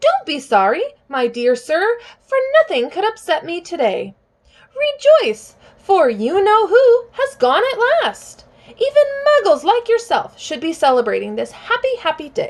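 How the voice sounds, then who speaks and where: A woman puts on a squeaky character voice at an extremely high pitch. She keeps a moderate pace while her pitch swings very widely. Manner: joyful, jubilant.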